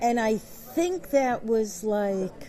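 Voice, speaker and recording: With noticeable background noise behind her, a woman speaks in a fairly high pitch with lively intonation. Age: 70s. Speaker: electrologist. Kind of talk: interview. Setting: convention.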